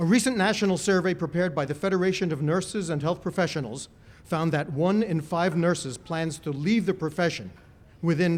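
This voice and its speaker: High-pitched, a man talks at a moderate pace. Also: very clean recording, silent background. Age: 60s. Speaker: college official giving ceremony speech. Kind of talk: ceremonial speech. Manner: formal.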